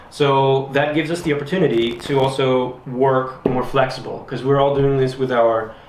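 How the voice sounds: A man's fairly even intonation, with audible room echo. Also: medium pitch for a man, moderate pace, slightly mellow tone.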